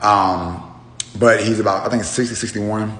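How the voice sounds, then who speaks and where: A man talks at a fairly low pitch. Noticeable background noise and audible room echo fill the recording. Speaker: truck driver, social media storyteller. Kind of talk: casual storytelling monologue. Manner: hesitant, many fillers.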